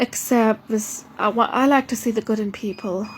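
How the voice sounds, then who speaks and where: A somewhat breathy woman with a fairly high pitch, fairly even intonation and a moderate pace. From Germany. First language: not English. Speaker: vlogger. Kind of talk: casual monologue. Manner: halting, many fillers and restarts.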